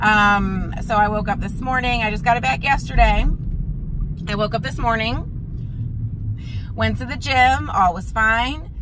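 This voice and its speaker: A woman talks at a moderate pace while noticeable noise runs in the background. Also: dry sound with no echo. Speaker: vlogger. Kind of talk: casual vlog chat. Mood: exasperated, joking about car troubles. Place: car. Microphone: phone near.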